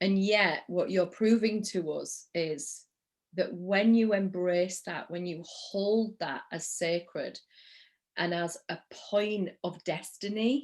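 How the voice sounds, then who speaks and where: This voice has a Yorkshire accent and ordinary pitch variation. The pace is very slow. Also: woman, medium pitch for a woman. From Yorkshire, northern England. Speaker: interview host, spiritual coach. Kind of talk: interview.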